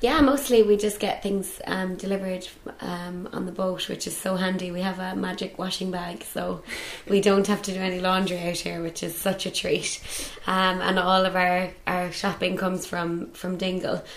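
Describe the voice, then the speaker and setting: A woman with a Cork accent speaks at a moderate pace with fairly even intonation. Background noise is noticeable, and there is audible room echo. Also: medium pitch for a woman. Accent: Cork Irish. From Ireland, Cork (Bandon). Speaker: island caretaker. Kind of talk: casual interview.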